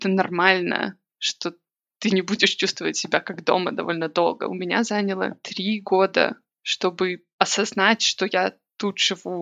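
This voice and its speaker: A woman's medium-pitched voice with vocal fry and monotone, flat intonation, at a fairly slow pace. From Belarus, Minsk. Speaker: emigrant sharing experience. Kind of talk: casual interview chat.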